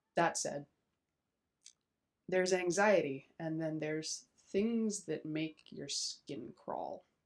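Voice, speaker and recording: A woman speaks quietly at a very slow pace. Her long, frequent pauses break up speech with ordinary pitch variation. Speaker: YouTuber, self-described witch. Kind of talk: casual vlog commentary. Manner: quiet, hushed; hesitant, many fillers.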